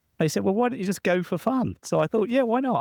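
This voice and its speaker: Recorded with a dry, close sound and no echo, a man speaks with a British accent. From southern England, near London. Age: 60s. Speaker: entrepreneur and author. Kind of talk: interview storytelling. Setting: podcast interview.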